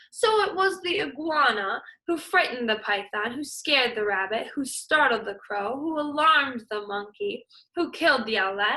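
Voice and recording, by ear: A woman does a put-on character voice, high-pitched with a bright, sharp tone, lively intonation and a moderate pace.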